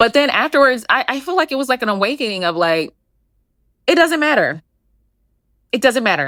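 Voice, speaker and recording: A woman talks at a fairly quick pace with a high pitch, very wide pitch swings and a bright, sharp, animated tone, yet leaves long, frequent pauses. The recording is very clean, dry and close, with no echo and a silent background. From Philadelphia, US. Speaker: clinical psychologist and podcast host. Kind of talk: podcast monologue. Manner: fast.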